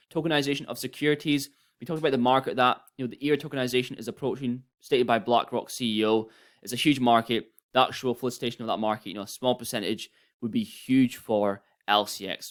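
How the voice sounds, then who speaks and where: The recording is very clean, with a silent background. A man speaks at a very fast pace with ordinary pitch variation. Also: medium pitch for a man. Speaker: crypto YouTuber. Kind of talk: casual commentary video.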